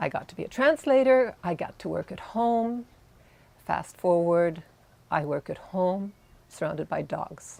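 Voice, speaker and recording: A woman at medium pitch speaks at a fairly slow pace, her pitch swinging very widely, with long, frequent pauses. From Montreal, Canada. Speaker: volunteer coordinator, former translator. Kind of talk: interview answers, personal story.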